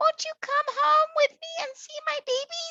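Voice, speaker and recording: A female-sounding voice puts on a squeaky character voice at an extremely high pitch. The pace is moderate. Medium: read story.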